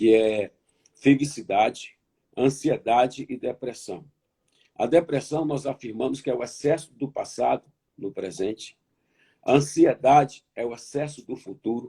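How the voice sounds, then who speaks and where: Somewhat breathy, with a dark, mellow tone, a man speaks at a medium pitch and a fairly slow pace with ordinary pitch variation. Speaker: pastor. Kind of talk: sermon. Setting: online conference. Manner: repetitive, emphatic.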